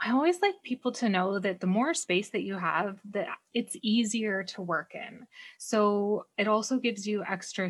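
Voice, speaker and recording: Over a silent background in a very clean recording, a woman with a somewhat breathy voice and a medium pitch speaks at a fairly slow pace. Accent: Canadian. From Canada. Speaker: decluttering coach. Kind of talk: casual interview chat.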